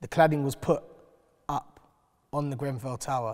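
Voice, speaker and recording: A man speaks with a London accent at a moderate pace. The background is quiet. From west London (North Kensington). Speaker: community activist; panel member. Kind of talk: panel discussion. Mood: earnest, reflective. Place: hall.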